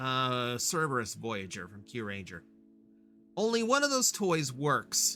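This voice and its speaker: With music in the background, a man of medium pitch speaks fairly slowly, his pitch swinging very widely and his loudness rising and falling sharply. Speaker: vtuber streamer. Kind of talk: live stream chat with viewers. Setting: live stream. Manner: casual, with many fillers; loud, near the top of the meters.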